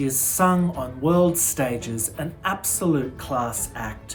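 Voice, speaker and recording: Her voice is very deep and low, with lively intonation. Music plays in the background behind this woman. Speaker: festival host. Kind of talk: host introduction. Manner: upbeat.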